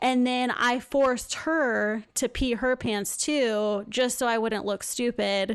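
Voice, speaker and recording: Over a quiet background, a woman with an American accent and a high pitch speaks at a very slow pace, with fairly even intonation, very even loudness and hardly any pauses. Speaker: nurse, podcast host. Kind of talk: casual chat.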